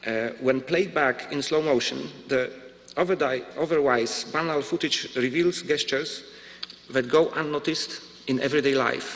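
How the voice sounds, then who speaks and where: At a fairly slow pace, a man with a Polish accent speaks at a fairly high pitch with ordinary pitch variation. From Poland. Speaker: visual artist. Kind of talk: lecture. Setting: stage with audience. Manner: formal. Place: hall. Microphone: podium.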